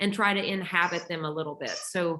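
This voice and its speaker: A woman speaks with a Texas accent. Her pace is fairly quick. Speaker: musician, writer and audiobook narrator. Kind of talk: casual interview chat.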